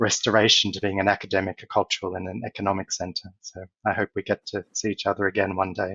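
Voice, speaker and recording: A man speaks with an Australian accent at a very fast pace. His voice is fairly low in pitch. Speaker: corporate executive and speaker. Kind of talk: conference talk.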